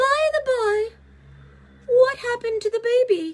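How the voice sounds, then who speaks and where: Putting on a squeaky character voice, a woman speaks at an extremely high pitch, at a moderate pace and with ordinary pitch variation. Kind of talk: bedtime story. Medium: read story. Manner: teasing, cryptic.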